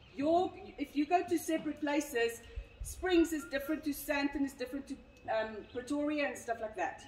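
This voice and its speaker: Audible room echo surrounds a woman who speaks at a high pitch and a moderate pace. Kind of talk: briefing to a group. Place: street. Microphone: camera far.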